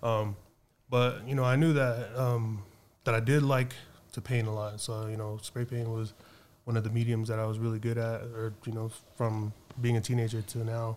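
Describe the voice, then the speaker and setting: Long, frequent pauses break up a man's moderate pace in a western US accent. His medium-pitched delivery is monotone and flat. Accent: American (western US). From Reno, Nevada. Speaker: artist. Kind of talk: casual interview.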